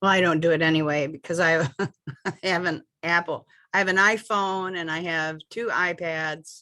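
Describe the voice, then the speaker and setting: The intonation stays fairly even and the tone is bright and sharp. The background is quiet. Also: woman, fairly low pitch for a woman, moderate pace. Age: 60s. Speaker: librarian attending a training. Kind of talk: casual chat.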